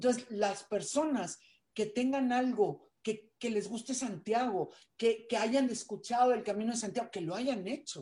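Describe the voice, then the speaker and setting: A woman speaks at a fairly slow pace with a dark, mellow tone. Her pitch is fairly high, with ordinary variation. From Mexico. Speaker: journalist and entrepreneur. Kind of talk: interview.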